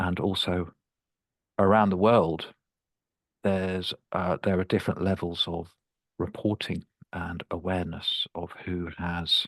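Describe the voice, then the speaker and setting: Against a quiet background with a dry, close sound and no echo, a man with a South London accent speaks at a fairly slow pace in a very deep, low voice, his intonation monotone and flat, with long, frequent pauses. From London, England. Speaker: speech and language pathologist. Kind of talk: webinar presentation.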